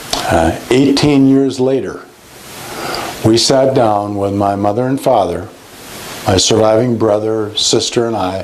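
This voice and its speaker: In a room with audible echo and noticeable background noise, a man at medium pitch talks at a fairly slow pace with ordinary pitch variation and long, frequent pauses. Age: 60s. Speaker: police chaplain. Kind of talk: interview testimony. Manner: halting, with many fillers.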